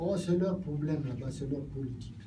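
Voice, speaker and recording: A man's fairly high-pitched, somewhat breathy voice with a dark, mellow tone and audible room echo. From Gabon. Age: 70s. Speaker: politician. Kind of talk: political speech.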